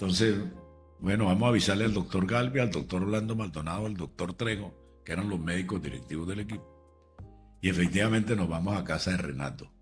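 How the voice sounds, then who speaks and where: Over background music, a man with a very deep, low pitch talks at a fairly quick pace with ordinary pitch variation. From Venezuela. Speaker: radio and TV announcer. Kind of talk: interview answer.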